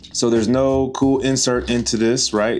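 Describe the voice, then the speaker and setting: Over music in the background, an enthusiastic voice in a Mississippi accent moves at a moderate pace with ordinary pitch variation. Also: man. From Mississippi, US South. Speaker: board game and sneaker YouTuber. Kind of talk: unboxing video. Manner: casual, enthusiastic.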